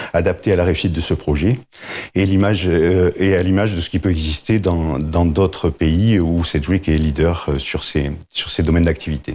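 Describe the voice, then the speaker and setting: In a southern French accent, a man talks at a moderate pace in a very deep, low voice with a dark, mellow tone and ordinary pitch variation. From southern France, Montpellier. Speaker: agricultural insurance claims director. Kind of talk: interview. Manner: hesitant, many filler words.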